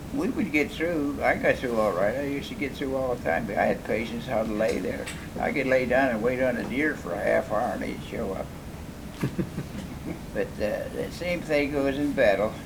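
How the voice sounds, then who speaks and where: Noticeable background noise accompanies a man with an American accent speaking at a moderate pace. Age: 80s+. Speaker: war veteran. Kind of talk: interview answer.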